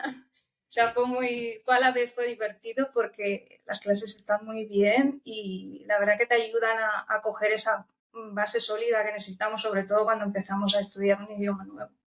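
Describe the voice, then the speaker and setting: A woman with a Romanian accent talks at a moderate pace in a fairly high pitch, with monotone, flat intonation and hardly any pauses. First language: Romanian (speaking Spanish). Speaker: language student. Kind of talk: interview.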